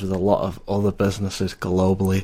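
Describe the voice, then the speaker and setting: A man with a Lancashire accent talks at a fairly quick pace in a fairly low pitch. The recording is very clean, with a silent background. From Lancashire, northern England. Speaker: IT support worker. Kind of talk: casual chat. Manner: halting, many fillers.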